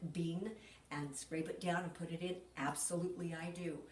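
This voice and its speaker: Noticeable background noise and audible room echo surround a woman whose fairly low voice stays flat and monotone. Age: 70s. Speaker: cooking demonstrator. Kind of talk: cooking tutorial. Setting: home kitchen. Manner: casual, chatty.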